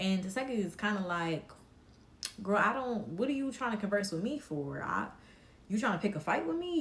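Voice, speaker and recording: Amid noticeable background noise and audible room echo, a woman speaks at a medium pitch with very wide pitch swings. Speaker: live stream commentator. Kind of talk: casual live stream chat. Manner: slow.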